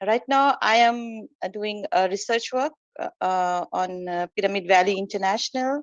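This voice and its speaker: Speaking at a fairly slow pace, a woman talks with an Indian accent and ordinary pitch variation. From India, Kolkata. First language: Hindi. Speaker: meditation practitioner, former teacher. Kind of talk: personal testimony in online meeting. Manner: halting, many fillers.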